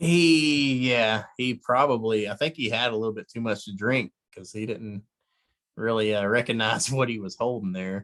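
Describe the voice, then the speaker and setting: A man's mumbling at a medium pitch and moderate pace, with ordinary pitch variation and big swings in loudness. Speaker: sports podcast co-host. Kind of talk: casual chat.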